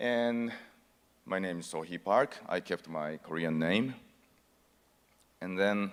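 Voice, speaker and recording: With a Japanese accent, a man speaks at a fairly slow pace. His pitch is fairly low and his intonation lively. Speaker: actor. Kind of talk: conference speech.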